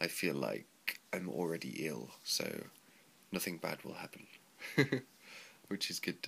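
The man's voice has a bright, sharp tone with vocal fry. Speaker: English teacher in Japan, vlogger. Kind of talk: casual vlog.

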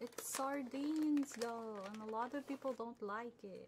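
Over noticeable background noise, a woman speaks in a playful tone. Her pitch is fairly high, with ordinary variation. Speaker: ASMR streamer / VTuber. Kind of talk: casual livestream chatter. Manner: playful, friendly, chatty.

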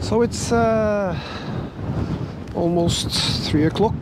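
A man talks at a fairly slow pace in a dry sound with no echo, with noticeable background noise present. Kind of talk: casual vlog chat. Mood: relaxed, impressed by views. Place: open country. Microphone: phone near.

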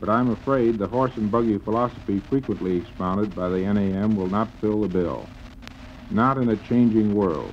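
A man with an American accent and a normal speaking voice talks at a moderate pace and fairly low pitch, with ordinary pitch variation and light background noise. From Chicago. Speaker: business executive. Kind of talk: radio interview answer. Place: studio. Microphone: old recording.

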